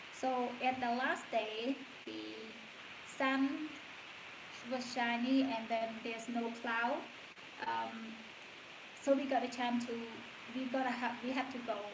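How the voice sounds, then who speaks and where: A woman with a Cambodian accent and a high pitch, monotone and flat, at a very slow pace with long, frequent pauses and audible room echo. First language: Khmer. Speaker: stay-at-home mom vlogger. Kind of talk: casual livestream chat. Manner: halting.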